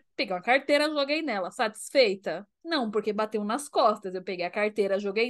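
Lively intonation from a woman at a fairly quick pace, over a quiet background. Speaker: podcast co-host. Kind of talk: casual chat. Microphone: new microphone.

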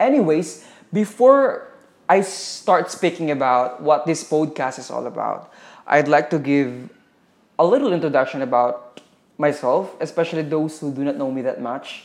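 A man with a Filipino accent talks at a moderate pace. His pitch is fairly high, with ordinary variation. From Philippines, Zamboanga City. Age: 20s. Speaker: podcaster. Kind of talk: podcast intro monologue.

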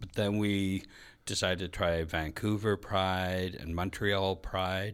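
Over a silent background in a very clean recording, a man talks at a very slow pace in a very deep, low pitch with monotone, flat intonation. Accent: Canadian. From Red Lake, northwestern Ontario, Canada. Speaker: drag performer. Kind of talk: interview.

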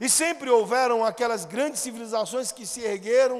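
With a Brazilian accent, a man talks at an extremely high pitch over noticeable background noise. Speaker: pastor. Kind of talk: sermon. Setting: church. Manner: formal, expository, didactic; earnest, pastoral, exhorting.

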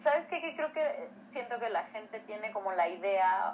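Lively intonation from a woman, with noticeable background noise. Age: 20s. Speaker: co-host, physician. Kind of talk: casual educational chat.

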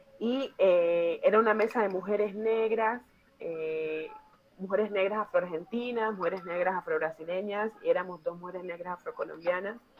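A woman's medium-pitched voice moves at a moderate speed with fairly even intonation, and noticeable background noise is present. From Colombia, Chocó. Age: 30s. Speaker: psychiatrist. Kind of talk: workshop talk.

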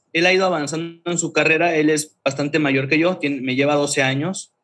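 This man has an ordinary speaking voice, fairly high in pitch, with fairly even intonation and a moderate pace. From Mexico, Chiapas (Tuxtla Gutiérrez). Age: 30s. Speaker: creative agency founder. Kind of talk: casual interview.

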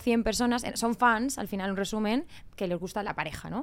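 In a very clean recording with a silent background, a woman talks at a fairly quick pace in a fairly high voice with ordinary pitch variation. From Spain, Murcia. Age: 30s. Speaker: reality TV contestant and influencer. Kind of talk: casual chat.

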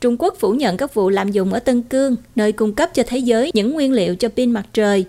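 A woman with a fairly high pitch and a dark, mellow tone at a very fast pace, with lively intonation and very even loudness. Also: hardly any pauses. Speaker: news anchor. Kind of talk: news reading.

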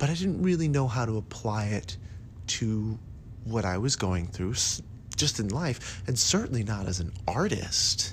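With lively intonation and a somewhat breathy, fairly low voice, a man speaks at a fairly slow pace. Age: 40s. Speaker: podcast host and performing arts coach. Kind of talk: solo podcast monologue.

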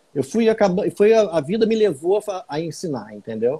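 The man's dark, mellow voice is somewhat breathy, with lively intonation at a moderate pace. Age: 40s. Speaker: meditation teacher and acupuncturist. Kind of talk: casual interview on a live stream.

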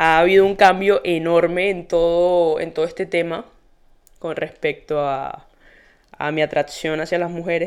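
In a very clean recording with a silent background, a woman with a fairly low pitch speaks at a moderate pace in an animated tone. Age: 20s. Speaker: podcast host. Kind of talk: casual monologue.

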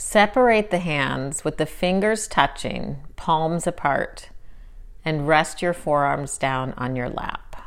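A woman's very deep, low voice, very slow and calm, soothing in tone, on a very clean recording with a silent background. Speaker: meditation guide. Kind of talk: guided meditation. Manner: slow, calm and soothing, with unhurried pauses; soft-spoken and gentle.

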